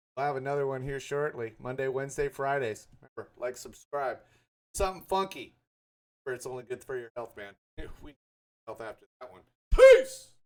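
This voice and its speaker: The delivery is animated and moves at a fairly quick pace. Long, frequent pauses break it up. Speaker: true crime reaction youtuber. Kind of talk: casual reaction commentary. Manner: halting, stumbling over words.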